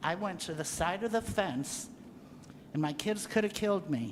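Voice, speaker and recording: Ordinary pitch variation in a woman's medium-range voice, with audible echo from the room. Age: 70s. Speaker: resident speaking at public comment. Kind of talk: public comment at council meeting. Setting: city council meeting.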